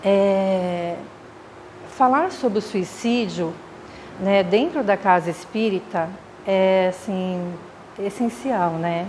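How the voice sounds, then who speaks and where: Speaking very slowly with long, frequent pauses, a woman at a medium pitch uses ordinary pitch variation amid noticeable background noise and audible room echo. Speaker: spiritist lecturer, mental health worker. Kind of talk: lecture. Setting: spiritist center with audience, microphone. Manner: halting, many fillers. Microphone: too quiet at start.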